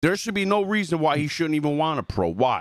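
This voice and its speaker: Talking at a fairly quick pace, a man with a New Jersey accent sounds animated, his fairly high voice full of lively intonation. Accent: New Jersey accent coming through. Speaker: gaming podcast co-host and YouTuber. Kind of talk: casual podcast chat. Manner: animated, heated.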